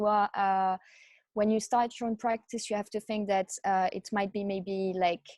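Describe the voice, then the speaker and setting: A woman's medium-pitched voice with a French accent, flat and monotone, dry and close with no echo, over a quiet background. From France. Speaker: chiropractor, practice owner. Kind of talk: casual interview.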